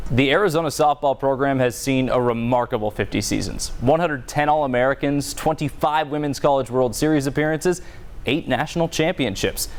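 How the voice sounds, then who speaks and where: In an unremarkable speaking voice, the speaker talks at a fairly quick pace with ordinary pitch variation. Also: man, fairly high pitch for a man. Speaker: sports broadcaster. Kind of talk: sports feature storytelling.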